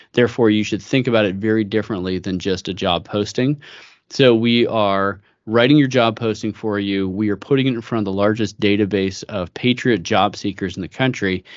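A man with an American accent uses a normal speaking voice, pitched fairly low, at a fairly quick pace. His intonation stays fairly even. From US West Coast (San Francisco Bay Area). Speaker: business executive. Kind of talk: interview conversation.

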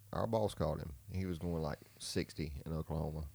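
Speaking with a Southern US accent, a man has a very deep, low pitch, a dark, mellow tone and ordinary pitch variation. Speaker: podcast co-host. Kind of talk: casual, profane.

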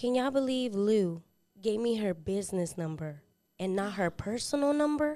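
A woman's medium-pitched voice, dark and mellow in tone, with lively intonation at a moderate pace. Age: 20s. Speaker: nail technician. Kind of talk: casual chat.

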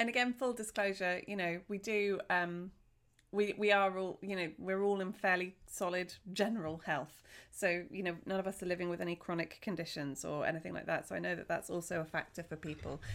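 A woman speaks at a fairly quick pace and medium pitch in a plain, everyday voice. The recording is very clean, with a silent background. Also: ordinary pitch variation. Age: 40s. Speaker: wellness podcaster and essential oils seller. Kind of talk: casual solo monologue.

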